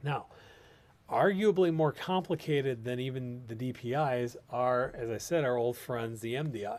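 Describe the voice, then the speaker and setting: A man's voice at medium pitch, with ordinary pitch variation and a moderate pace. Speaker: respiratory therapist and patient advocate host. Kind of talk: live stream Q&A talk. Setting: live video stream. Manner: hesitant, many fillers.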